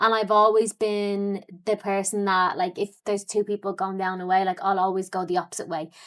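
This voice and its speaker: A woman's medium-pitched voice, monotone and flat, at a fairly quick pace with hardly any pauses, in a very clean recording with a silent background. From Ireland, Dublin. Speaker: fitness coach and entrepreneur. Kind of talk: podcast interview. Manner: casual, many fillers.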